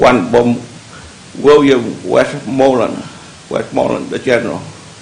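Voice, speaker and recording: Noticeable background noise and audible room echo around a man's fairly slow speech. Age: 70s. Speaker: member of the public, war veteran. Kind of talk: public comment at county meeting. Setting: public meeting hall. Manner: halting.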